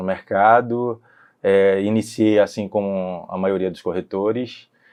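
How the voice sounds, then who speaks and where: A man speaks at a fairly slow pace in a fairly low voice, his intonation monotone and flat. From interior of Bahia, Brazil (Paulo Afonso). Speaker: real estate broker and businessman. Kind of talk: podcast interview.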